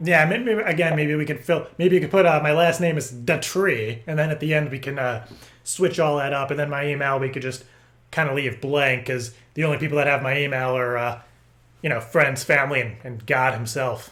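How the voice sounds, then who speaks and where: In a put-on character voice with a Californian accent, a man speaks fairly quickly, raspy and fairly high in pitch, with ordinary pitch variation. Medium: solo performance. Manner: rambling, stammering.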